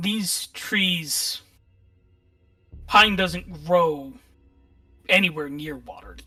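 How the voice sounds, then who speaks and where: A raspy, put-on character voice at a middle pitch goes at a very slow pace with long, frequent pauses. Faint music plays in the background. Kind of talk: horror narration. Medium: actual play. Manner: calm, descriptive.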